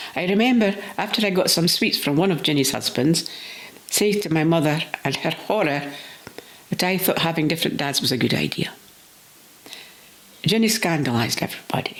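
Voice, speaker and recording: A woman with a fairly low voice speaks at a fairly quick pace with lively intonation and very even loudness, leaving long, frequent pauses over noticeable background noise. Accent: Scottish. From Scotland. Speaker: storyteller. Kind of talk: personal reminiscence story reading.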